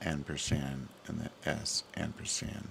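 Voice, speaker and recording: A man speaks quietly. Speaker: livestreamer. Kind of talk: casual livestream chat. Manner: quiet, low.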